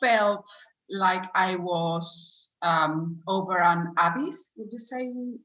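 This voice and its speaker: Speaking very slowly with a Spanish accent, a woman at medium pitch shows ordinary pitch variation and big swings in loudness. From Spain. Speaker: former client, program graduate. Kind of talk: interview testimony. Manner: slow, searching for words; hesitant, many fillers.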